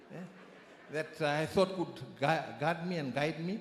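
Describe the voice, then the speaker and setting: Amid audible room echo, a man with a fairly high pitch and ordinary pitch variation speaks at a moderate pace. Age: 60s. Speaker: church member giving testimony. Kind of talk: testimony. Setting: church.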